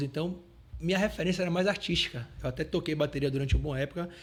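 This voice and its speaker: A man talks with ordinary pitch variation as background noise is noticeable. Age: 30s. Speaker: entrepreneur. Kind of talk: podcast interview.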